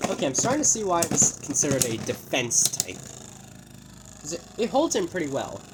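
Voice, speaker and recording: The speaker goes at a fairly quick pace but leaves long, frequent pauses, with noticeable background noise throughout. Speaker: toy reviewer. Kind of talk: unboxing and product testing. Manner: halting.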